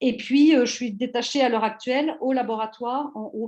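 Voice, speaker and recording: A woman with a fairly high pitch, talking at a fairly quick pace. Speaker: university historian, seminar speaker. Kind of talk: academic presentation. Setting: online seminar. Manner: halting, many hesitations.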